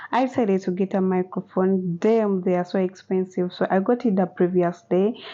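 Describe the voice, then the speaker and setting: A woman's plain, everyday voice at medium pitch, moderate in pace, with fairly even intonation, very even loudness and hardly any pauses. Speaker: vlogger. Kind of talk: casual vlog talk. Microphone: phone mic, new microphone bought.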